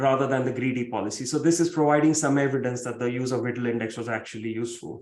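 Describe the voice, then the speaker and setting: Room echo is audible as a man with a Marathi accent talks fairly high in pitch with fairly even intonation. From India, Mumbai. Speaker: professor. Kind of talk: keynote lecture.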